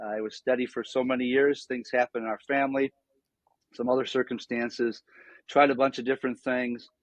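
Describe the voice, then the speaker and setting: With an American accent, a man speaks at a fairly quick pace. His pitch is medium and his intonation monotone and flat. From western New York (Niagara Falls, near Buffalo). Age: 60s. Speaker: former pastor, nonprofit founder. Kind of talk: podcast interview.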